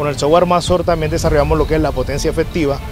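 There is clear music behind a man whose flat, monotone delivery sounds dry, with no echo. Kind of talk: project presentation. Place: open country.

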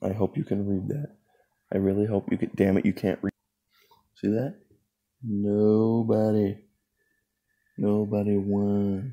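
Against a quiet background, the speaker goes at a fairly slow pace with fairly even intonation and long, frequent pauses. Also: man, fairly low pitch for a man. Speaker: channel host. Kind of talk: casual vlog chat. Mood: playful, a bit awkward.

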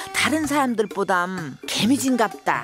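A woman's fairly high voice with very wide pitch swings in a Jeolla accent, with music in the background. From South Korea, Jeolla region. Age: old.

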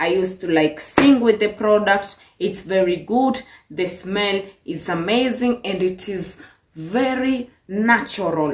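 In a Kenyan accent, a woman speaks at a fairly slow pace with an animated, upbeat tone and ordinary pitch variation. Audible room echo and light background noise surround her voice. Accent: Kenyan English, noticeable. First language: Swahili. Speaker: vlogger. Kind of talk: vlog monologue, casual. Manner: animated, upbeat, chatty. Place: kitchen. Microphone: phone near.

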